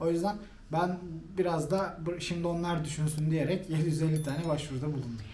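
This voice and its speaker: A man talks at a very fast pace with a fairly high pitch. Audible room echo surrounds his voice. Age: 30s. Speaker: guest on channel's interview show, former HR manager. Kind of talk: interview. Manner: halting, many fillers.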